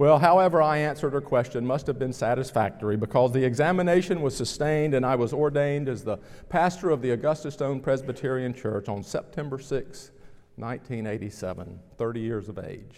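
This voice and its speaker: A man with a medium pitch talks at a fairly quick pace with ordinary pitch variation. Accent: Southern US. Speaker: pastor. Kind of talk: sermon. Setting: church.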